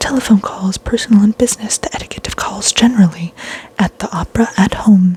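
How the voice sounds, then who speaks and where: A woman's medium-pitched voice at a very fast pace, with noticeable background noise. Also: ordinary pitch variation, dry, close sound with no echo. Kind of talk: reading a vintage book's table of contents aloud.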